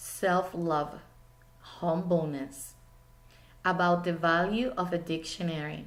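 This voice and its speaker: A woman's fairly low voice in a Spanish accent at a very slow pace, with fairly even intonation, long, frequent pauses and audible room echo. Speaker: teacher. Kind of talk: speech.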